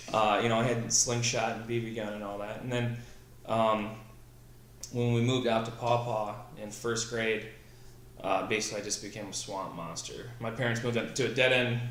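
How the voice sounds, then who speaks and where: A man with a Midwestern American accent speaks at a moderate pace in a monotone, flat intonation. Long, frequent pauses break his speech, and audible room echo surrounds it. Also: medium pitch for a man. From Southwest Michigan. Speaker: military veteran, company founder. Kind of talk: casual interview.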